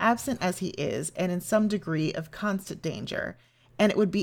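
The speaker is plainly reading aloud with ordinary pitch variation.

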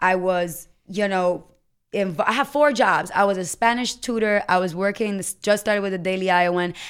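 A woman speaks in a normal speaking voice with an American accent, her pitch medium and its variation ordinary. The recording is very clean, with a silent background. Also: moderate pace. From US Virgin Islands. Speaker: podcaster. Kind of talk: casual chat. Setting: radio studio.

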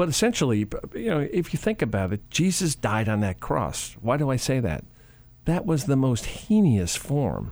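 Speaking with an American accent, a man at medium pitch and moderate pace lets his pitch swing very widely. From Chicago, US Midwest. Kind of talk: radio interview. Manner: animated.

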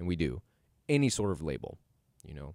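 Very deep and low, a man's voice carries vocal fry and an animated tone. He speaks at a fairly quick pace with lively intonation. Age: 20s. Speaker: podcast host. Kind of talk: solo monologue podcast.

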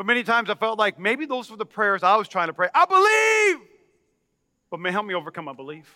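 A man with a high-pitched, bright and sharp voice projects loudly at a very fast pace, his animated tone and lively intonation marked by big swings in loudness, all in a dry, close sound with no echo. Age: 40s. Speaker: pastor. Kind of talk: sermon. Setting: church.

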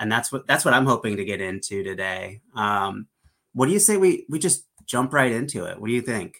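A man speaks at a fairly quick pace in a normal speaking voice, with medium pitch and lively intonation, on a very clean recording with a silent background. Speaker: new co-host, fantasy football analyst. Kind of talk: casual podcast discussion.

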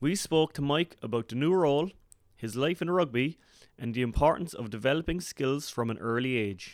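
In a very clean, dry and close recording with no echo and a silent background, a man with a normal speaking voice and fairly high pitch speaks at a moderate pace with lively intonation. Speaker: podcast host. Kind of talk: interview.

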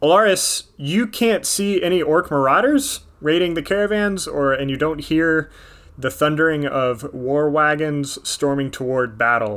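With a plain, everyday voice, a man speaks at a fairly slow pace in a fairly high pitch with lively intonation. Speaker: game master. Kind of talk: tabletop role-playing game session, casual banter and narration.

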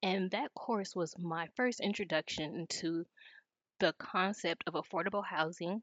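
In an American accent, a woman talks at a moderate pace and medium pitch with ordinary pitch variation. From US West Coast (South Los Angeles). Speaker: legal nonprofit policy director. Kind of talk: interview podcast.

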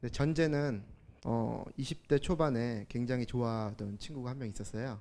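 At a fairly slow pace, a man talks with a medium pitch, ordinary pitch variation and a dark, mellow tone. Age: 30s. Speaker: audience member. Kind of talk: personal testimony. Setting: stage with audience.

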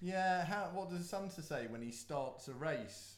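Amid noticeable background noise, a man talks at a fairly slow pace with lively intonation. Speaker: podcast host. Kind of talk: casual chat.

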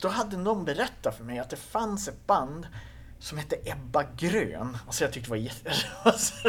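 The pace is moderate. Loudness swings widely and the pitch swings very widely. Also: man, high pitch for a man. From northern Sweden, Skellefteå area. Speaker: punk musician. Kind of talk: casual interview. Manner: halting, repeats words.

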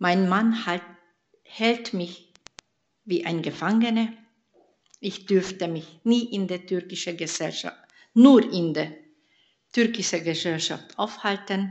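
With a Hungarian accent, a woman speaks at a very slow pace, leaving long, frequent pauses. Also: medium pitch for a woman, ordinary pitch variation. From Hungary. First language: Hungarian (speaking German). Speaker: church member giving testimony. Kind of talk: testimony.

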